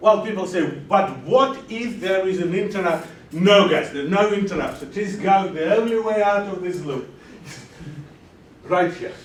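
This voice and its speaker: In a room with audible echo and noticeable background noise, a man speaks loudly at a moderate pace in a high pitch, with ordinary pitch variation and long, frequent pauses. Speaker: lecturer. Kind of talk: lecture. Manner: animated.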